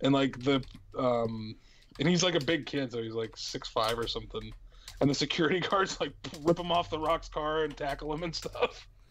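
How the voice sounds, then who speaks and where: With an ordinary speaking voice, a man talks at a moderate pace in a fairly high pitch, his pitch varying in an ordinary way. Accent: American. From Ohio Valley near the West Virginia Northern Panhandle. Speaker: podcast host. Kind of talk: casual chat.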